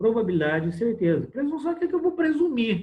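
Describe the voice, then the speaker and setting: Lively intonation runs through a man's speech, delivered at a very fast pace. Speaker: medical lecturer (obstetrics). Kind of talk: lecture. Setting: online class on video call.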